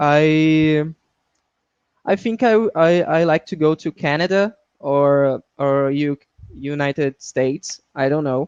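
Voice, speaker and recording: Someone with a Portuguese accent speaks at a very slow pace. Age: 20s. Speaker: English student. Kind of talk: online language lesson. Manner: halting.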